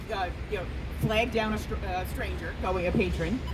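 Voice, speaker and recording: In an American accent, a woman speaks at a moderate pace. Noticeable background noise and audible room echo fill the recording. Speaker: city labor relations commissioner. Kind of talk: rally speech. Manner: loud; halting, many fillers.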